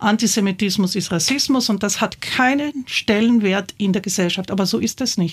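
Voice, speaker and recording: A woman with a medium pitch and a somewhat breathy voice speaks at a moderate pace, her pitch varying in an ordinary way. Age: 60s. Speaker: theatre director. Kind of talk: interview. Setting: studio.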